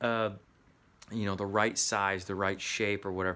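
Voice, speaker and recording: A man with a bright, sharp tone speaks with an American accent. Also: very clean recording, silent background. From US Midwest. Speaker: actor and acting coach. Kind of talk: motivational talk.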